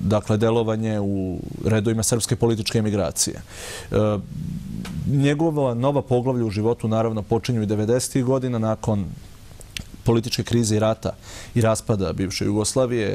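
A man's fairly quick delivery with very even loudness and fairly even intonation. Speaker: guest. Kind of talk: interview answer. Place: studio. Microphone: lapel.

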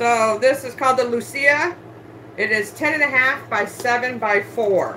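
The speech moves at a fairly slow pace with ordinary pitch variation. Light background noise sits underneath. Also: woman, high pitch for a woman. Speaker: online handbag reseller. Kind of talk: live-stream sales show. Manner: loud. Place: home room. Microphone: phone near.

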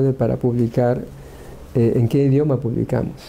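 Light background noise sits behind a man's voice. He speaks at a medium pitch and a moderate pace. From Peru. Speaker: engineering professor. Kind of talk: talk at a workshop. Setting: workshop with audience. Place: office. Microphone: lapel.

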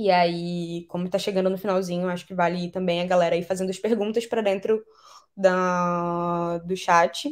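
A woman speaks at a moderate pace in a monotone, flat intonation. The background is quiet. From Brazilian Amazon (Belém, Pará / Macapá, Amapá); Brazil. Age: 20s. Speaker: climate justice speaker, biologist; speaker. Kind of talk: online lecture. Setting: live online video class. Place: home room. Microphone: webcam.

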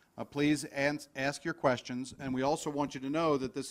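A man with fairly high pitch uses an ordinary speaking voice at a moderate pace and fairly even intonation, on a very clean recording with a silent background. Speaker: event host. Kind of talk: event hosting and introductions. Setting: conference room with live stream.

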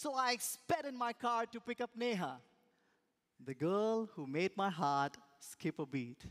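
Over a quiet background, a man talks with very wide swings in pitch. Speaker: speaker. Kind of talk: speech contest storytelling. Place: stage. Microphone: headset.

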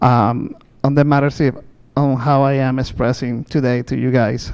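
Dark, mellow tone from a man with a Spanish accent. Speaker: public commenter. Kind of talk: public comment at meeting. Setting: public board meeting. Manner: halting.

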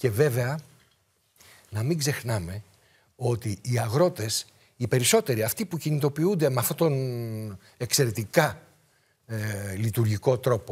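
A somewhat breathy man speaks at a fairly slow pace with lively intonation. The background is quiet. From rural Greece. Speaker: political commentator. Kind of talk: political talk show debate. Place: studio. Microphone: lapel.

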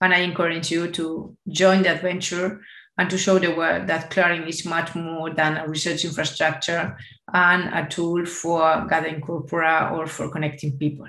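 A woman's bright, sharp voice at a moderate pace, monotone and flat, with audible room echo over a quiet background. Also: fairly low pitch for a woman. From Spain. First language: Spanish. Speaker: AI and digital innovation expert; keynote speaker. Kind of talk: conference keynote. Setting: video call. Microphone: webcam.

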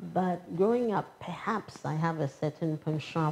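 A woman speaks with a Ghanaian accent at a moderate pace. Music plays in the background. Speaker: public official. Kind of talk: interview.

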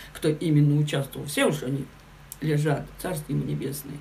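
A woman speaks in a low, dark, mellow voice at a moderate pace. Her pitch varies in an ordinary way, and the room echo is audible.

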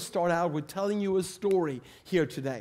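A man speaks with a Swedish accent. His intonation is lively. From Sweden. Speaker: preacher. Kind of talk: sermon. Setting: church. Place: church. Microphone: headset.

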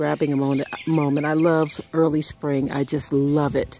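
The pace is moderate, with light background noise. The sound is dry with no echo. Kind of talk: casual vlog chat. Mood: relaxed, cheerful. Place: garden. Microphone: phone near.

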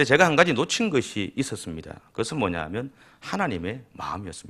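A man's bright, sharp voice at a moderate pace, with very wide pitch swings. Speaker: pastor. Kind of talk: sermon.

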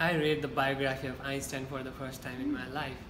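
Noticeable background noise sits behind a man speaking at a moderate pace. He has a Nepali accent and a monotone, flat intonation. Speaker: university student. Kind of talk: interview answer. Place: meeting room. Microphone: camera far.

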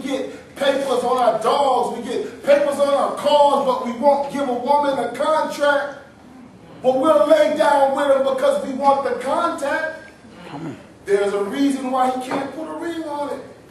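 Against noticeable background noise, a man speaks at a moderate pace with fairly even intonation and an extremely high pitch. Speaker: pastor and spoken-word poet. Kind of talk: performed spoken-word poetry with a sermon-like message, refrain repeated. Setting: small venue, live audience. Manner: rhythmic, emphatic, preacherly delivery with call-and-response repetition.

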